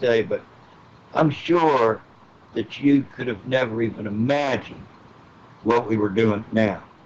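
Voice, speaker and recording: A man with an American accent speaks at a moderate pace with ordinary pitch variation over noticeable background noise. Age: 60s. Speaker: guest claiming military insider knowledge. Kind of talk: casual interview chat. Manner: halting.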